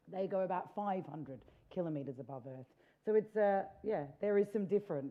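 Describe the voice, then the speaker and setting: A woman's medium-pitched voice with lively intonation at a fairly quick pace. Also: big swings in loudness. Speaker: space tourism entrepreneur. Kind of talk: panel discussion. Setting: stage with audience. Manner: loud.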